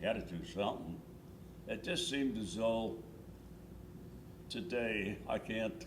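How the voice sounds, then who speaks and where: At a fairly slow pace with long, frequent pauses, a man speaks at medium pitch with lively intonation, in a room with audible echo and noticeable background noise. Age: 90s. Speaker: war veteran. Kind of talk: oral history interview. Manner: halting, repetitive.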